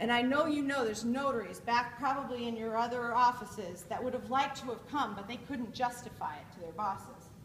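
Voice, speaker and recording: A woman's high-pitched voice at a fairly quick pace, with big swings in loudness, ordinary pitch variation and noticeable background noise. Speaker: conference speaker. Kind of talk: keynote speech. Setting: stage with audience. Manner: animated.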